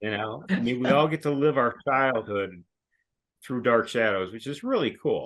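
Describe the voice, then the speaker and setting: A plain, everyday voice moves at a moderate pace with ordinary pitch variation. The background is quiet. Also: man, medium pitch for a man. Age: 60s. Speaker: longtime fan of a TV show. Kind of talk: casual chat.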